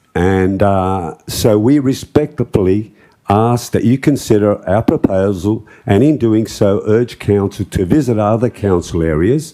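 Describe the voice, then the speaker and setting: The pace is fairly slow, with ordinary pitch variation. The speaker has an Australian accent. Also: man. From Australia, Liverpool area of Sydney. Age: 60s. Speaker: property owner speaking at public forum. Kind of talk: public address to council. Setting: council chamber.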